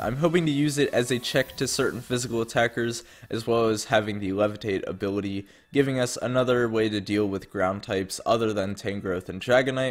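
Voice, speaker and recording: Music plays in the background. The pitch varies in an ordinary way. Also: man. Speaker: competitive video game player. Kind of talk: commentary on a video game draft.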